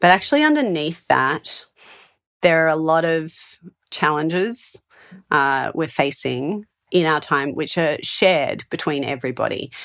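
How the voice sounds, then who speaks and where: With an Australian accent, a woman speaks fairly slowly at a very deep, low pitch with ordinary pitch variation, against a quiet background. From Australia, Sydney. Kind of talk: casual interview.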